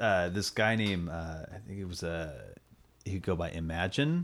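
This man's voice is very deep and low, with ordinary pitch variation. He speaks with an American accent. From US West, Sacramento, California. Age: 30s. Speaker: musician. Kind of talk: casual chat.

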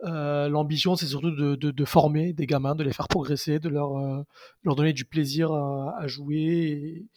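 A man at a moderate pace, his pitch fairly high and his intonation fairly even. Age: 20s. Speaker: youth football coach. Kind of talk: casual interview. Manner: halting, many repetitions and fillers.

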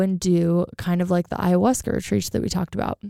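At medium pitch, a woman speaks in a dark, mellow tone that is clear and smooth, with vocal fry, in a dry, close sound with no echo. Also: very clean recording, silent background.

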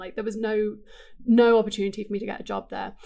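A woman with an English accent talks at a very fast pace. Her fairly high voice has monotone, flat intonation. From England. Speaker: digital marketing writer. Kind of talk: casual interview chat. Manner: laughs often.

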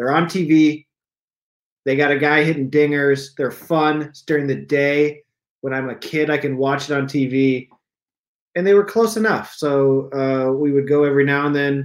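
A man with an unremarkable speaking voice talks at a moderate pace and a fairly high pitch. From eastern Iowa. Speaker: stand-up comedian. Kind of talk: casual chat.

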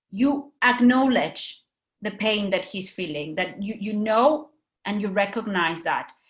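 At a fairly slow pace, a woman speaks in a fairly high, somewhat breathy voice with lively intonation. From Mexico. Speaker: educator. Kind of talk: webinar presentation.

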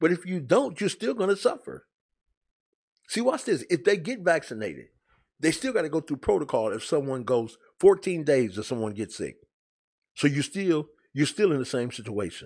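A man speaks at a moderate pace with a fairly high pitch, vocal fry and very wide pitch swings. He leaves long, frequent pauses against a quiet background. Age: 50s. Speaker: sports commentary video host. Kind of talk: casual monologue.

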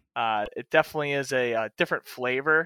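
Loud and close, a man's bright, sharp voice comes through dry with no echo. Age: 20s. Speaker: fill-in co-host and options trader. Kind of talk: casual chat.

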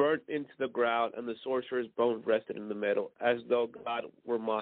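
An unforced reading voice carries ordinary pitch variation.

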